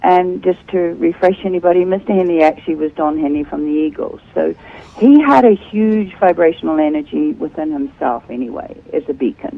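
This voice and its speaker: With a New Zealand accent, a woman of fairly low pitch talks at a fairly quick pace with very wide pitch swings, over noticeable background noise. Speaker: author and speaker. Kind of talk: interview. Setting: Skype video call.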